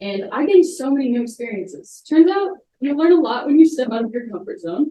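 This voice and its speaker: A woman's high-pitched voice with a dark, mellow tone, at a fairly quick pace, with very wide pitch swings, big swings in loudness and audible room echo. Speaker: college student presenter; presenter. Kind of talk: student presentation. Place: hall. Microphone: camera far.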